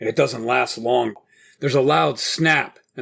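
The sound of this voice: An unforced reading voice, quiet background all around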